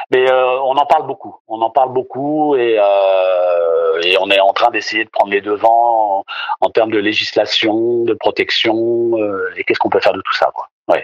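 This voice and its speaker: A man talks fairly slowly in a dry, close sound with no echo. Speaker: voice actor. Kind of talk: interview. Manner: halting.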